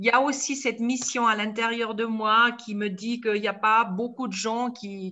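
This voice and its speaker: A woman talks very slowly, her voice pitched fairly high. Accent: Swiss. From India, Tibetan refugee community. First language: Tibetan (speaking French). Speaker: storyteller and author. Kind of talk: online talk Q&A. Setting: video call.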